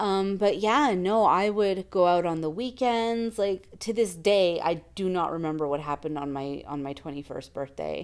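Speaking in a plain, everyday voice, a woman uses a fairly low pitch at a moderate pace. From Canada. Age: 30s. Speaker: podcast co-host. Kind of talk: casual chat.

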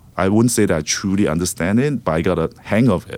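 This man talks at a fairly quick pace. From Singapore. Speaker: creative director in advertising. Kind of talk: interview conversation. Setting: studio.

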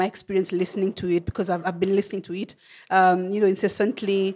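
A woman of medium pitch speaks with a Kenyan accent on a very clean recording with a silent background. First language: Kenyan language. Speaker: podcast host. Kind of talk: interview conversation. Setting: studio. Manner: halting, many fillers and repetitions.

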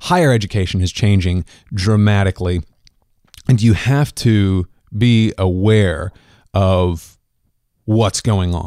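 On a very clean recording with a silent background, a man with a Midwestern American accent speaks at a very deep, low pitch. His pitch varies in an ordinary way, and he takes long, frequent pauses. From Kansas. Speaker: podcast host. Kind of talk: interview and solo commentary.

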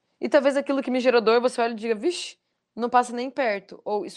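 Speaking very fast, a woman with a high pitch shows ordinary pitch variation. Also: quiet background. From Foz do Iguaçu, Paraná, southern Brazil. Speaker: life coach and trainer. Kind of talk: interview / motivational talk.

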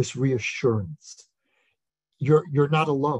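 A fairly high-pitched, somewhat breathy man with an American accent at a fairly slow pace. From USA. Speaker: author and lecturer. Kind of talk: interview on Zoom. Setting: video call.

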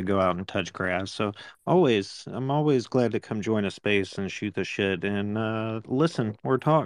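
In a quiet background, a man talks at a moderate pace. He has an unremarkable speaking voice. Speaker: listener who joined the space, mentor. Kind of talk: casual conversation. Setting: online audio space.

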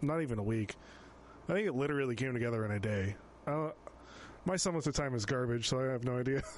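A man talks very fast at a medium pitch with ordinary pitch variation, breaking often into long pauses. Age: 20s. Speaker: podcast host and band musician. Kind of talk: casual chat.

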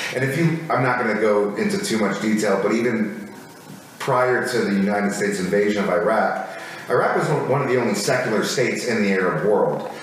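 Over noticeable background noise, a man with an American accent talks at a fairly quick pace in a fairly low voice, with ordinary pitch variation and very even loudness. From Minnesota, US Midwest (Minneapolis). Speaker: Marine veteran and comedy writer. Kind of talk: casual interview chat.

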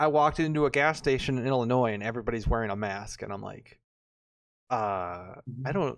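His pitch is medium and varies in an ordinary way. This man has an unremarkable speaking voice. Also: fairly quick pace, quiet background. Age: 20s. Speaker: podcast co-host. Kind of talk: casual chat. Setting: studio.

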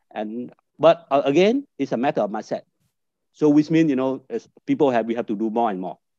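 A man with a Vietnamese accent at a medium pitch and a fairly quick pace, lively in intonation, in a dry, close sound with no echo. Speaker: business network director. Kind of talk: panel discussion. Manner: halting.

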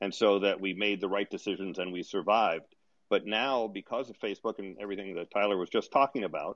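Here a man speaks at a fairly quick pace. He has an ordinary speaking voice, fairly low in pitch. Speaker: audience participant, green tech commentator.

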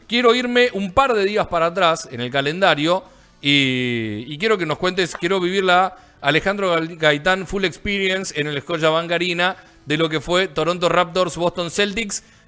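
A high-pitched man at a moderate pace with ordinary pitch variation, music in the background. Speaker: basketball podcast host. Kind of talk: casual sports chat.

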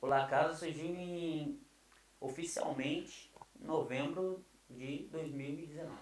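This man speaks very slowly, his fairly high voice showing ordinary pitch variation. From Brazil. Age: 30s. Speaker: pastor. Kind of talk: casual interview chat.

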